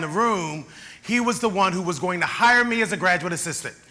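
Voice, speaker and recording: A man talks at a fairly quick pace in a raised, projected voice with ordinary pitch variation. Noticeable background noise and audible room echo surround him. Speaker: keynote speaker. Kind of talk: keynote speech. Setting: conference stage with audience.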